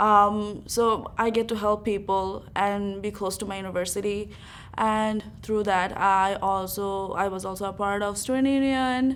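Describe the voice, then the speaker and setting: A woman talks in a medium pitch at a fairly slow pace. Her intonation is flat and monotone, and the room echo is audible. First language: not English. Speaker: university student. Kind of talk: interview. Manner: hesitant, many fillers.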